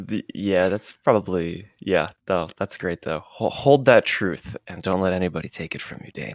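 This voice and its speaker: The speech moves at a moderate pace with hardly any pauses, ordinary pitch variation and big swings in loudness, in a dry, close sound with no echo. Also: man, very deep, low pitch for a man. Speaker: podcast co-host, writer and director. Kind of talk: casual chat.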